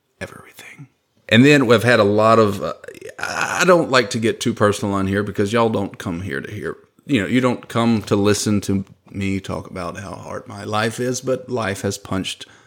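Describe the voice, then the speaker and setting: Fairly quick speech comes with a Southern US accent and an animated tone. Loudness swings widely while pitch varies in an ordinary way. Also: man. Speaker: podcast host. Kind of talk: casual chat. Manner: animated, joking.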